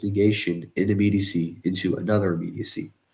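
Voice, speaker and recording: Somewhat breathy, a man talks at a moderate pace. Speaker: philosophy video presenter. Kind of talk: lecture. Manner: hesitant with fillers.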